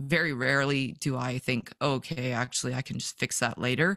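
A woman with a Western Canadian accent is heard on a very clean recording with a silent background and a dry, close sound with no echo. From Vancouver, British Columbia, Canada. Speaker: fishing photographer. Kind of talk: casual interview.

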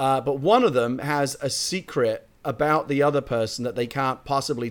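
A man speaks with a British accent and hardly any pauses. The recording is very clean, with a silent background. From Britain. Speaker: screenwriter. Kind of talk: casual chat.

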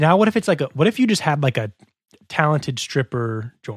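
Very fast and somewhat breathy, a man's fairly high voice carries lively intonation, recorded dry and close with no echo. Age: 20s. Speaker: podcast co-host. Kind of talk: casual chat. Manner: halting.

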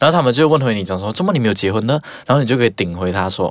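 A man's medium-pitched voice at a very fast pace. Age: 20s. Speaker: podcast co-host. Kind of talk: casual chat.

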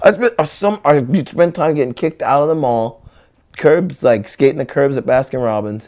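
A man with an American accent speaks at a moderate pace in a fairly high pitch, his tone animated and his intonation lively. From Central California (Visalia). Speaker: skateboarder and rapper. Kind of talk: casual interview chat. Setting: at his own house. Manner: animated, laughing often.

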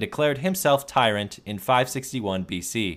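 In a very clean recording with a silent background, a man talks in a normal speaking voice. His pitch is medium and his intonation is lively. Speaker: podcast host. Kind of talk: history podcast narration. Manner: measured, storytelling.

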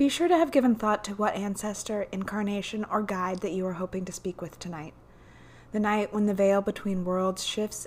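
At a moderate pace, a woman speaks in a normal speaking voice at a medium pitch. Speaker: podcast host and guided meditation leader. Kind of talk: guided meditation. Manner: gentle, hypnotic, vividly descriptive.

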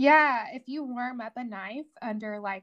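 Against a quiet background, a woman with a Southern US accent speaks at a fairly high pitch with ordinary pitch variation. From Tennessee, Fayetteville. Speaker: whiskey cream company founder. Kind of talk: casual interview.

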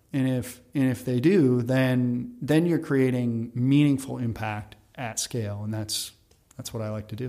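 Speaking at a fairly slow pace, a man uses a plain, everyday voice at a medium pitch. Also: ordinary pitch variation. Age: 40s. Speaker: food company founder. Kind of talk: interview.

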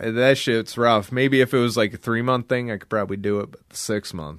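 The man keeps a moderate pace in an ordinary speaking voice, with medium pitch and ordinary pitch variation. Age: 30s. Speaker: podcast co-host. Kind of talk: casual chat. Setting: video call.

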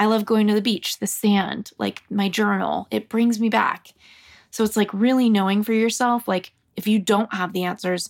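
A woman with an unremarkable speaking voice talks at a fairly high pitch and moderate pace on a very clean recording with a silent background. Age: 30s. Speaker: career coach and author. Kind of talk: casual chat.

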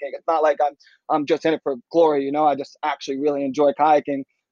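Very fast and monotone, a man with an American accent speaks in a flat, fairly high-pitched voice. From Washington D.C., US. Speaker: extreme kayaker. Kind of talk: interview, casual chat.

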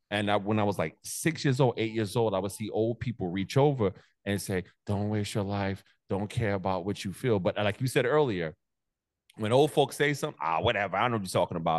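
Animated in tone, a man with a New York accent talks at a fairly quick pace and fairly low pitch with ordinary pitch variation against a quiet background. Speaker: motivational content creator. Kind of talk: casual chat. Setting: video call.

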